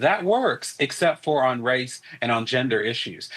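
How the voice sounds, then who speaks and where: He is a man speaking with a North Carolina accent. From US South, North Carolina. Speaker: political analyst. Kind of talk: news interview.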